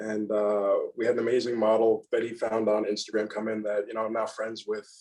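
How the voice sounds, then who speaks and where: The speech runs at a fairly quick pace in a monotone, flat intonation. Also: man, medium pitch for a man. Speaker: photographer. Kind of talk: casual chat. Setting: podcast recording.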